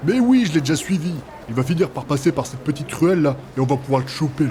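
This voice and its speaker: A man does a put-on character voice, fairly high in pitch and at a very fast pace. Clear background noise can be heard. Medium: audio drama. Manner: cocky, crude.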